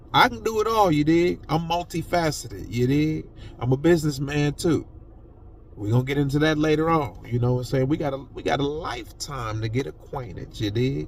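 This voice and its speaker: An animated man speaks at a fairly quick pace with lively intonation. His voice is fairly high and somewhat breathy. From Ohio, US Midwest. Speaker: podcaster. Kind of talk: casual monologue.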